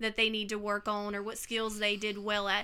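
In a Mississippi accent, a woman speaks at a moderate pace with a fairly high pitch, a bright, sharp tone and monotone, flat intonation, in a very clean recording with a silent background. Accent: Southern US (Mississippi). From US Mississippi coast. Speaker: artist and former teacher. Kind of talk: casual interview.

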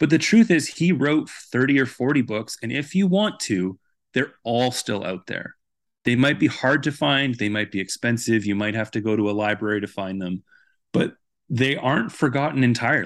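An unremarkable speaking voice with a Canadian accent and lively intonation. The pace is moderate, and the background is quiet. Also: man, medium pitch for a man. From Vancouver, Canada. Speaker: author and journalist. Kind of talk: interview.

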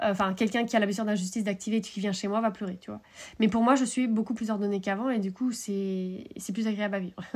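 Speaking at a very fast pace, a woman with a medium-pitched, somewhat breathy voice keeps her intonation fairly even. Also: very clean recording, silent background. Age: 30s. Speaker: horse coach podcaster. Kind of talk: solo podcast monologue. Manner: casual, filler-heavy.

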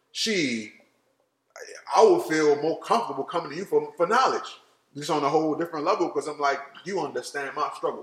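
Speaking at a fairly quick pace, a man with an American accent leaves long, frequent pauses. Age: 30s. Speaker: podcast host. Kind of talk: casual chat.

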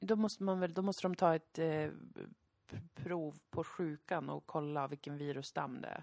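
This woman has a very deep, low pitch and ordinary pitch variation. She speaks at a moderate pace. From Sweden. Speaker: podcast host. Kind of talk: casual chat.

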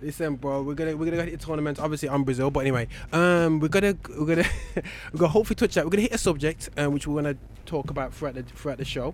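At a very fast pace, a man talks with a fairly high pitch and ordinary pitch variation.

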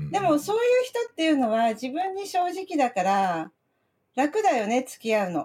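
Her pitch is high and swings very widely. This woman speaks at a moderate pace with big swings in loudness. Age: 60s. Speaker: podcast guest, drama enthusiast. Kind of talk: casual chat. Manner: animated.

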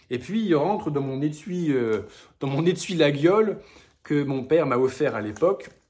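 Here a man uses a normal speaking voice, fairly high in pitch, with lively intonation at a moderate pace. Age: 30s. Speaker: hiking video creator. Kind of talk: casual vlog with gift recommendations.

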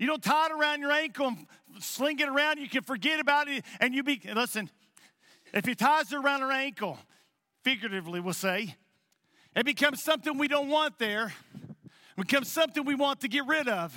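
A man speaks in a raised, projected voice at an extremely high pitch, with a bright, sharp tone, ordinary pitch variation, a fairly quick pace and long, frequent pauses. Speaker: pastor. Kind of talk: sermon. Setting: church. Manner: halting.

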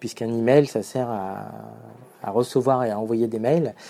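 Heard against total silence on a very clean recording, this male voice sounds dark and mellow. His intonation stays fairly even. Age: 40s. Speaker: social entrepreneur, founder of coding schools. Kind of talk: monologue sharing advice. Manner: hesitant with frequent fillers.

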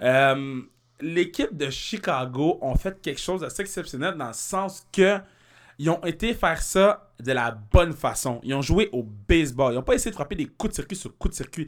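On a very clean recording with a silent background, a man uses a normal speaking voice, fairly high in pitch, with lively intonation at a moderate pace. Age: 20s. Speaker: comedian. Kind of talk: casual chat.

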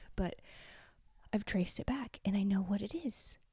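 On a very clean recording with a silent background, a woman speaks quietly in an animated tone. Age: 30s. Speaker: podcast host. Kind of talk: casual monologue.

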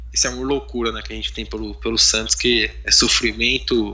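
The man's speech comes through with noticeable noise in the background. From São Paulo, East Zone. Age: 20s. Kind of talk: casual chat.

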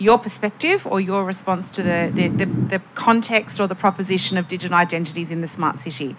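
A woman speaks at a medium pitch with ordinary pitch variation. Background noise is noticeable. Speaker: futurist and panelist, workshop facilitator. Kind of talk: panel discussion and facilitation. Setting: stage with audience.

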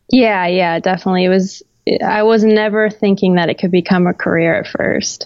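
Using a plain, everyday voice, a woman with an American accent speaks at a fairly quick pace, medium pitch and fairly even intonation. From Florida, US South. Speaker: photographer and creative director. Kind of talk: casual interview chat.

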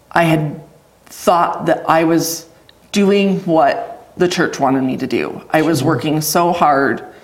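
With an American accent, a woman of fairly low pitch speaks at a very slow pace with ordinary pitch variation, amid audible room echo and noticeable background noise. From Idaho, US. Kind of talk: testimony interview.

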